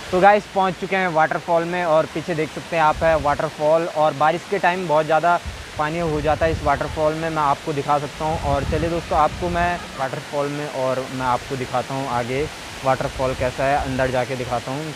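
With a fairly high pitch and little pitch movement, a man talks at a fairly quick pace with few pauses over clear background noise.

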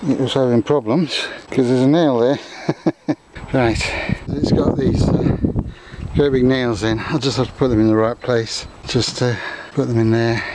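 Over faint background noise, a man speaks at a medium pitch and a fairly slow pace, with a slightly mellow tone and fairly even intonation.

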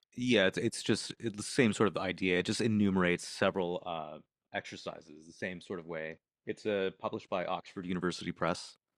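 A man with a very deep, low pitch speaks at a fairly quick pace and with fairly even intonation against a quiet background. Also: dry sound with no echo. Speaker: masterclass participant, composer; composition teacher. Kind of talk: Q&A in class. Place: home room. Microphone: studio mic.

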